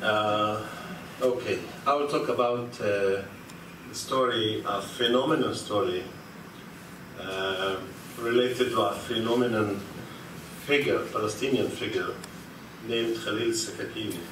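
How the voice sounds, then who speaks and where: A man with a non-native accent speaks at a medium pitch with fairly even intonation and long, frequent pauses, amid audible room echo and noticeable background noise. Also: fairly slow pace. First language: Arabic. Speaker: academic conference speaker. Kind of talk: conference talk. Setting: lecture hall with audience. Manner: halting, many fillers.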